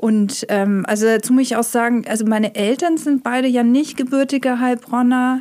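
A woman's high voice carries a dark, mellow tone with fairly even intonation and very even loudness. She keeps a moderate pace with hardly any pauses. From Heilbronn, Baden-Württemberg, Germany. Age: 50s. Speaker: illustrator and author. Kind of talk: casual interview.

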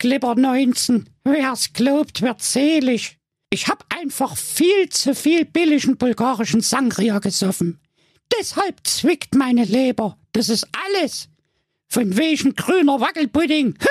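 In a put-on character voice, a man speaks at an extremely high pitch, fairly slowly and with lively intonation, in a dry, close sound with no echo. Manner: scoffing, laughing.

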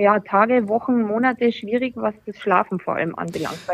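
Her fairly quick pace and fairly even intonation carry a woman's plain, everyday voice. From Austria. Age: 30s. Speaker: breast cancer survivor. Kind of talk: casual chat.

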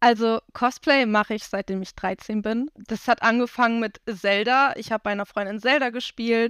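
In a normal speaking voice, a woman talks at a moderate pace with hardly any pauses, her fairly high pitch following fairly even intonation, on a very clean recording with a silent background and a dry, close sound with no echo. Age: 20s. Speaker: cosplayer. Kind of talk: casual chat.

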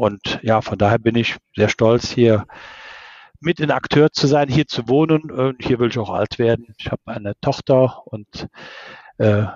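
A normal speaking voice from a man, medium in pitch, at a moderate pace with fairly even intonation. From Ahr valley, Rhineland-Palatinate, Germany. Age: 50s. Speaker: civil engineer, engineering firm owner. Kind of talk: interview.

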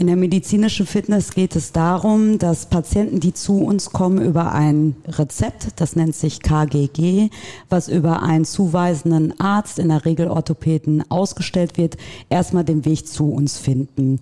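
Using an ordinary speaking voice, a woman talks at a fairly slow pace, her pitch fairly low with ordinary variation and her loudness very even. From Dortmund, Germany. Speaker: practice manager. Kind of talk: casual interview.

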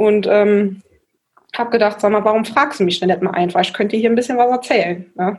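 A woman's medium-pitched voice, an ordinary speaking voice, at a fairly quick pace with ordinary pitch variation and very even loudness. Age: 20s. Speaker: volunteer mayor. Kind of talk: interview.

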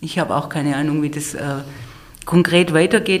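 Audible room echo and noticeable background noise together. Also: woman. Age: 50s. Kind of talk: conversational interview. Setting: studio, face to face. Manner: hesitant, many fillers.

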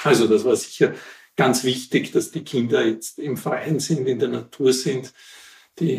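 Speaking at a very slow pace, a man sounds somewhat breathy, with ordinary pitch variation. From Austria, Wienerwald near Vienna. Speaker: local historian. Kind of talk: interview, storytelling. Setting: at his home.

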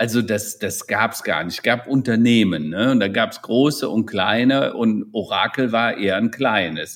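Here is a man with an unremarkable speaking voice. His pitch is medium and his pace fairly slow. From Rhineland, Germany (near Hennef). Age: 60s. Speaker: digital transformation consultant and keynote speaker. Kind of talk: interview.

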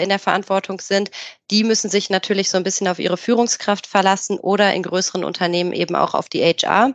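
A woman speaks at medium pitch and a fairly quick pace, her intonation monotone and flat. The sound is dry and close with no echo, and the background is quiet. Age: 30s. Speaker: HR specialist. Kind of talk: casual chat.

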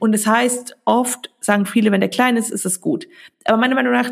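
Vocal fry colors a woman's voice as she speaks at a moderate pace with lively intonation. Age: 30s. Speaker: biochemist and stock investing educator. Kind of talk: podcast interview.

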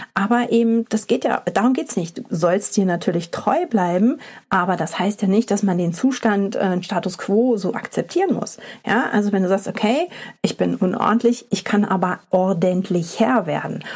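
At a moderate pace, the speaker uses an ordinary speaking voice with ordinary pitch variation. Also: woman, medium pitch for a woman. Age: 40s. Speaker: podcast host and company founder. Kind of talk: solo podcast monologue. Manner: casual, with many filler sounds.

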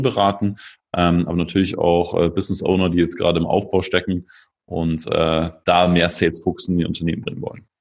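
Fairly quick speech comes through on a very clean recording with a silent background. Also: man. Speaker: sales consultant, former personal trainer. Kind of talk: casual interview.

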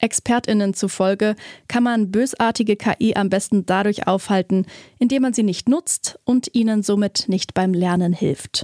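A woman's dark, mellow tone at a fairly slow pace with very even loudness, dry and close with no echo, on a very clean recording with a silent background. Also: medium pitch for a woman, ordinary pitch variation. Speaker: tech news host. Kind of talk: news reading. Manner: formal, even and brisk.

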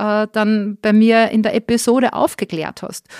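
A woman speaks at a fairly slow pace in a fairly high voice. Her intonation is monotone and flat. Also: dry, close sound with no echo. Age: 40s. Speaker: podcaster. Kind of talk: interview.

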